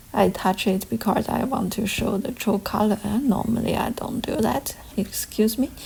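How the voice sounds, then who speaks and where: A woman with a non-native accent speaks at a moderate pace with hardly any pauses. Her pitch is fairly high and varies in an ordinary way. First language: not English. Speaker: gardening vlogger. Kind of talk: casual walkthrough vlog. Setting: outdoors. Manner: halting.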